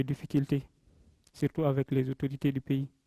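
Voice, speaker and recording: A man with a fairly high pitch and a dark, mellow tone speaks at a moderate pace in a monotone, flat intonation, with a dry, close sound and no echo. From Guinea. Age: 20s. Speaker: migrant speaker. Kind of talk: personal testimony talk to audience.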